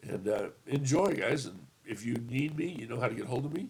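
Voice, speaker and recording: At a fairly quick pace, a man talks in a somewhat breathy, medium-pitched voice. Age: 50s. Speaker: tabletop gaming youtuber. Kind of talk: casual video review. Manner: hesitant, many fillers.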